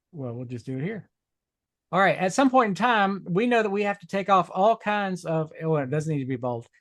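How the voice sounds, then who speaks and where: Very wide pitch swings run through a man's voice. He keeps a moderate pace. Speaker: web design instructor. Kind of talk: tutorial. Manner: casual, hesitant with fillers.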